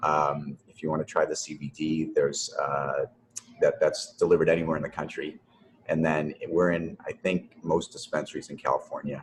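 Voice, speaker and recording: A man with a Boston accent talks at a moderate pace. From Boston, US. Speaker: company founder. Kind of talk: interview. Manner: halting, many repeated words.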